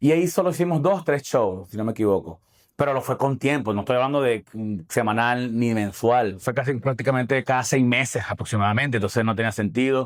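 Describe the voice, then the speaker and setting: A man with a Venezuelan accent talks at a fairly quick pace with hardly any pauses. The recording is very clean, with a silent background. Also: medium pitch for a man, ordinary pitch variation. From Falcón, Venezuela. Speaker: stand-up comedian; lawyer. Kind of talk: interview answer.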